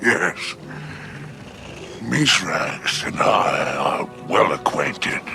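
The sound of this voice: In a put-on character voice, a man speaks very slowly with a low pitch, vocal fry, a bright, sharp tone and big pitch swings while faint music plays in the background.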